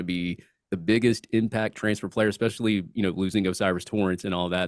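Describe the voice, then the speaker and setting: A man's fairly low voice at a very fast pace with ordinary pitch variation, dry and close with no echo, on a very clean recording with a silent background. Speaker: sports podcast co-host, guest. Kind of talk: casual sports chat. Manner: halting, repeats words.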